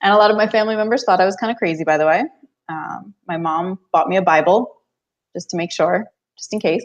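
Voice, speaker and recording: A woman with a New Jersey accent talks at a very fast pace. Her pitch is medium, with ordinary pitch variation. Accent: American, New Jersey. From US, New Jersey. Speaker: author and business coach. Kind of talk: podcast interview.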